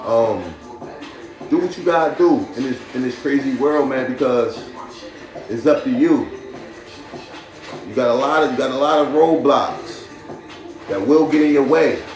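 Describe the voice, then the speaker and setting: Long, frequent pauses break up a man's moderate-paced speech, heard with noticeable background noise and audible room echo. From Paterson, New Jersey. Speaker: podcast host. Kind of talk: casual live-stream talk. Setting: live stream. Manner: repetitive, stammering restarts.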